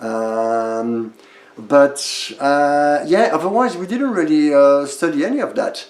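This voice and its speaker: A man with a French accent speaks very slowly, his fairly high voice rising and falling in a lively way. Noticeable background noise and audible room echo sit behind him. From France. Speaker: stage actor. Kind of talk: casual interview. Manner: hesitant, many fillers.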